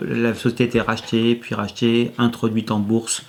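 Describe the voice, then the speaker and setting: The voice belongs to a man. It rests at a medium pitch. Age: 50s. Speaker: former IT engineer who changed life. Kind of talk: testimony interview. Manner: hesitant, many fillers and repetitions.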